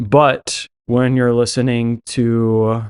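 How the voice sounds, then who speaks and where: With a dry, close sound and no echo, a man speaks at a medium pitch in a monotone, flat intonation. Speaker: Bible teaching podcaster. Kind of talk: Bible teaching podcast monologue. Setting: podcast recording. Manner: slow.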